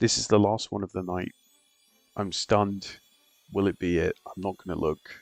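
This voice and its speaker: In a quiet, monotone voice over background music, a man with a fairly low pitch speaks at a moderate pace with long, frequent pauses, the sound dry and close with no echo. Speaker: gaming streamer. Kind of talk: live gameplay stream chat. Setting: at home at night, others asleep. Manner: quiet, keeping voice down.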